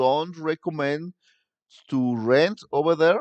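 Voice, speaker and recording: A man speaks at a very slow pace with a Spanish accent, his voice dry and close with no echo. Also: quiet background. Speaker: tour guide and vlogger. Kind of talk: live stream chat with viewers. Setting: live stream. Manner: halting.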